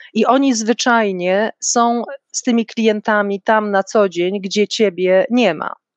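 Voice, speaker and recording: A woman speaks very slowly at a fairly high pitch. The sound is dry and close, with no echo. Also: fairly even intonation. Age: 50s. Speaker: corporate manager. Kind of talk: interview. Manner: formal.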